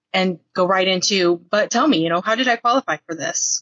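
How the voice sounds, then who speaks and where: It's an ordinary speaking voice. A woman talks at a fairly quick pace with ordinary pitch variation. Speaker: telemarketer scam-baiter. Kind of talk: recorded interview, casual chat.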